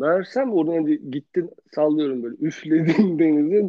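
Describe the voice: Speaking at a fairly quick pace, the man shows ordinary pitch variation. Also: fairly high pitch for a man.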